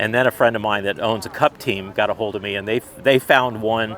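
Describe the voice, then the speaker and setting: Noticeable background noise sits behind the speaker. A man at a medium pitch talks at a fairly quick pace with fairly even intonation. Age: 60s. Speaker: car club member, Porsche owner. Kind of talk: casual interview. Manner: halting, many repeats.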